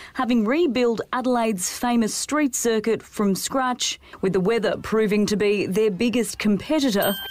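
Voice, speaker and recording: A woman talks at a moderate pace with a fairly high pitch and very even loudness, barely pausing. There is noticeable background noise. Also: ordinary pitch variation. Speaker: radio host. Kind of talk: casual banter on a radio show.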